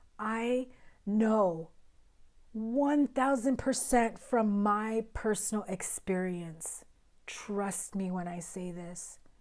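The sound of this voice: A woman talks slowly in a raspy voice at medium pitch. Her intonation stays fairly even. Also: slightly mellow tone.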